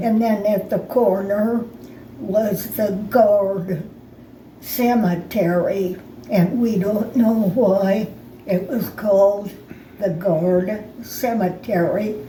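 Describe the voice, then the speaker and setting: With an American accent, a woman speaks at a medium pitch and a very slow pace, with long, frequent pauses, fairly even intonation, and noticeable background noise. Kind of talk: reminiscing interview answer. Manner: slow, hesitant.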